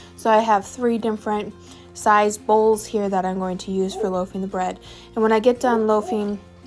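Over faint music in the background, a woman speaks at a fairly quick pace with monotone, flat intonation. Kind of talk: tutorial. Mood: relaxed, encouraging. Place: kitchen. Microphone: phone near.

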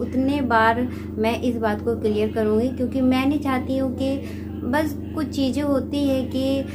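There is music in the background. Over it, a woman speaks at a fairly slow pace. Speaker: home vlogger. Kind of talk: casual vlog chat. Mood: earnest, explaining herself. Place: home room. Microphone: phone near.

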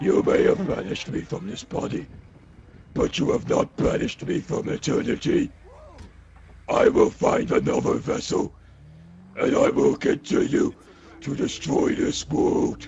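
A man does a put-on character voice with a menacing tone. He speaks at a moderate pace with long, frequent pauses.

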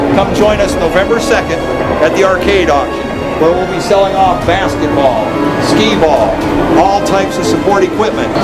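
Loud music plays in the background as the speaker goes at a moderate pace. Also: man. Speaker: auctioneer. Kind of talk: auction promotional announcement. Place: hall.

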